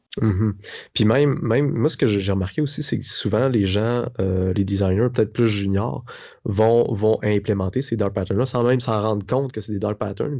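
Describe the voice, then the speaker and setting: In a Quebec accent, a man speaks at a moderate pace with a fairly low pitch and ordinary pitch variation. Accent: Québécois French. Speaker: podcast host, design teacher. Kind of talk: podcast interview.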